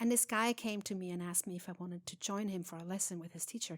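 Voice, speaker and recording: On a very clean recording with a silent background and a dry, close sound with no echo, a woman with a Swiss German accent speaks at a fairly quick pace. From Switzerland. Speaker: jazz singer. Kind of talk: interview. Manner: halting.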